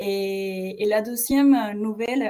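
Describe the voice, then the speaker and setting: A woman with a Mexican accent has a fairly high pitch and a dark, mellow tone. Her pitch varies an ordinary amount. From Mexico. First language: Spanish (speaking French). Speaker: webinar host, marketing coordinator. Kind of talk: webinar presentation. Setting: online webinar. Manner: hesitant, many fillers.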